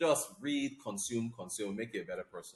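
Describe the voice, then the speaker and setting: This man speaks at a medium pitch. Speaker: business news anchor. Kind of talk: interview. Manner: fast.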